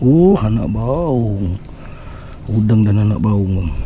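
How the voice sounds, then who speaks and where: Noticeable background noise sits under a man's fairly low voice. He talks at a very slow pace with lively intonation. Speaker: fishing vlogger. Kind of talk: casual vlog commentary. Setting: outdoors by a river. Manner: animated.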